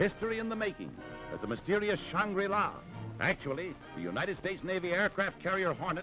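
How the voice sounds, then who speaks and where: Over background music, a man with a high-pitched, raised and projected voice talks at a fairly quick clip in a dramatic tone. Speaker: newsreel commentator. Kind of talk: newsreel narration. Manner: dramatic, emphatic.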